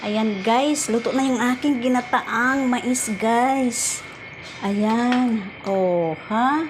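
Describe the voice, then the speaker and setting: A woman's high-pitched voice at a very slow pace, with ordinary pitch variation and very even loudness, plus audible room echo and noticeable background noise. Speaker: vlogger. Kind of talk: cooking tutorial. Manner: casual, with many fillers.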